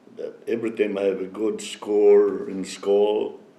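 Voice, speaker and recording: A man speaks with audible room echo. Noticeable background noise runs behind him. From Philippines. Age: 70s. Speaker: elder interviewee. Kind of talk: life story interview.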